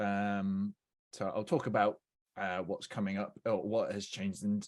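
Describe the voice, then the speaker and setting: A man speaks at a fairly slow pace with fairly even intonation. His pitch is fairly low, and he has an unremarkable speaking voice. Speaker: software engineer presenting a webinar. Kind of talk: technical webinar presentation. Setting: online webinar. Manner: many filler words (uh, um).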